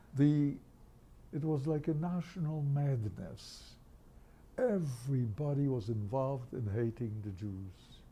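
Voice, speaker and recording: This man's voice is medium-pitched, dark and mellow, and somewhat breathy. He talks at a fairly slow pace with lively intonation. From Poland. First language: Yiddish. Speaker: Holocaust survivor. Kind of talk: interview.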